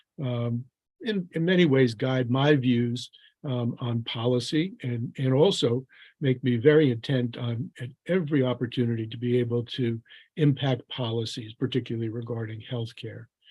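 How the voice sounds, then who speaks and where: Somewhat breathy and dark, mellow in tone, a man talks at a moderate pace at medium pitch with ordinary pitch variation. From Newark, New Jersey, US. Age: 70s. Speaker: physician and public health official. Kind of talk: lecture. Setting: live online video session. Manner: halting, many fillers and restarts.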